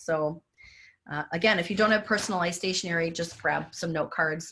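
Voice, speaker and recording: A woman's fairly low voice, bright and sharp in tone, at a fairly quick pace with fairly even intonation. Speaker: graphic design business owner, workshop presenter. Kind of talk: presentation. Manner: fast.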